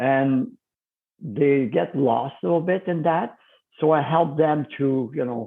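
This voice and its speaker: Fairly slowly and at a fairly high pitch, a man talks with ordinary pitch variation. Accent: French. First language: French. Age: 50s. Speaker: fitness coach. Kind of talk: interview.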